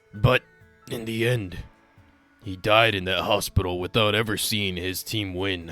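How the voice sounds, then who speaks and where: Faint music plays behind a man doing a put-on character voice at a fairly low pitch and a moderate pace, broken by long, frequent pauses. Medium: dub.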